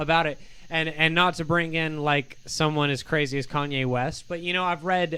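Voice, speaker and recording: A man speaks loud and animated at a moderate pace. His voice sits fairly high, with a bright, sharp tone. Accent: American. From Michigan. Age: 30s. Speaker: singer-songwriter. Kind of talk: casual chat.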